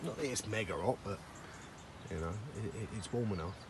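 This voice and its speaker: With an English accent, a man talks at a fairly quick pace and ordinary pitch variation in audible room echo. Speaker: fishing vlogger. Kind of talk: casual vlog commentary. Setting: outdoors by a lake.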